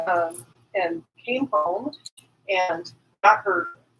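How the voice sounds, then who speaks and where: A woman's very slow delivery with very wide swings in pitch. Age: 50s. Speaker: podcast co-host. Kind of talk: casual chat. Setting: live stream.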